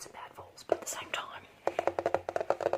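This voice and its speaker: Over background music, a woman whispers at a very slow pace. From Australia. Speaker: ASMR creator. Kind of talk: ASMR role play, casual talk to camera.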